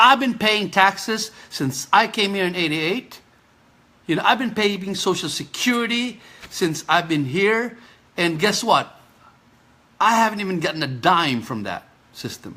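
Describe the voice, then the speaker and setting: A man's raised, projected voice, high-pitched, bright and sharp, animated in tone, at a fairly slow pace with long, frequent pauses. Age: 50s. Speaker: physical therapist and kidney patient. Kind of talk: Facebook live appeal. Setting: live stream. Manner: halting, repeated stutter-like restarts; animated, pleading.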